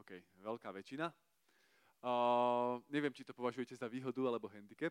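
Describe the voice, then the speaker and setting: A man speaks in a plain, everyday voice at a medium pitch and a moderate pace, with fairly even intonation. His loudness swings widely, and the sound is dry and close with no echo. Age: 30s. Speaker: preacher at youth service. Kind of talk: sermon.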